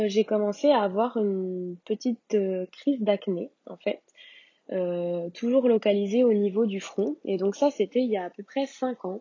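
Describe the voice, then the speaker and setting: Fairly slow speech from a woman with a fairly high pitch and ordinary pitch variation. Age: 20s. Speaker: podcast guest sharing her acne story. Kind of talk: personal testimony. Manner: hesitant, many fillers.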